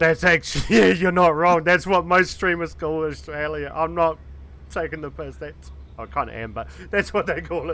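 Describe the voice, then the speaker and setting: A man with a New Zealand accent speaks at a moderate pace, his loudness swinging widely. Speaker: streamer. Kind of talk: casual chat.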